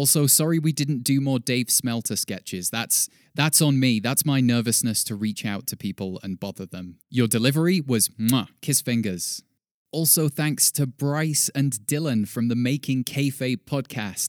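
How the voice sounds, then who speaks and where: A man speaks in a normal speaking voice at a medium pitch and moderate pace, with ordinary pitch variation. The sound is dry and close with no echo, in a very clean recording with a silent background. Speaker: wrestling news podcast host. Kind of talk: scripted comedic news parody with sign-off.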